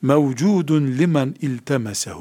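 Lively intonation marks this man's fairly high voice. He speaks at a very slow pace. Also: very clean recording, silent background. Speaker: Islamic scholar and teacher. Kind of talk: lecture.

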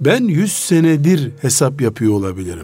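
Noticeable background noise sits behind a man who speaks at a moderate pace with a fairly high pitch. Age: 60s. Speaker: Islamic scholar. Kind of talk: religious talk radio discussion. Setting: radio studio.

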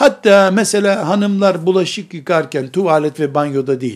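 A man talks at a fairly slow pace with a high pitch and lively intonation. The recording is very clean, with a silent background. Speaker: Islamic preacher. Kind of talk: religious lecture.

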